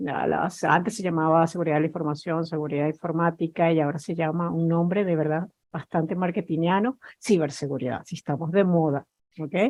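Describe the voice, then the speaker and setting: With a Spanish accent, a woman talks in a fairly low pitch. Her pace is fairly quick and her intonation fairly even. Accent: Spanish (Spain). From Spain. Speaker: cybersecurity executive. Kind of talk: panel discussion.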